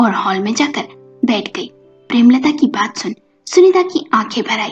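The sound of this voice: A woman with a fairly high pitch and a husky, rough edge speaks at a moderate pace with lively intonation, with faint music in the background.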